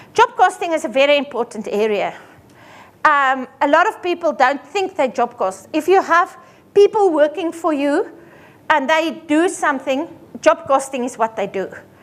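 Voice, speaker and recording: Her pitch is high and swings very widely. The woman keeps a moderate pace. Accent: Afrikaans. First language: Afrikaans. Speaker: accountant. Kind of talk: seminar presentation. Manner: animated.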